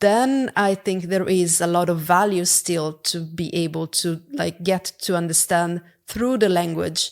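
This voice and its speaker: A woman with an Italian accent, fairly low in pitch, at a fairly slow pace on a very clean recording with a silent background. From Italy. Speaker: product executive. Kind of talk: podcast interview. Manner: halting.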